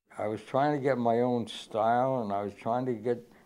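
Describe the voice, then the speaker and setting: With an American accent and a dark, mellow tone, a man speaks at a moderate pace. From Ohio, United States. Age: 80s+. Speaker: artist. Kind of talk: interview answer. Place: home room.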